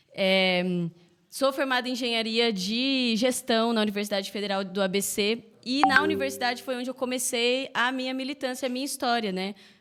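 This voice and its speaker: A woman with a fairly high voice talks at a moderate pace with ordinary pitch variation over noticeable background noise. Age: 20s. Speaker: mayoral candidate. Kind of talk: political interview. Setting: podcast live stream.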